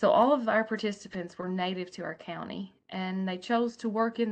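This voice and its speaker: Against a quiet background, a woman with an Appalachian accent talks at a moderate pace with ordinary pitch variation. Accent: Appalachian Southern US. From Appalachian Kentucky. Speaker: public library director; conference presenter. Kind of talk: online conference presentation. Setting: video call. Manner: hesitant, frequent fillers. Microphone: webcam.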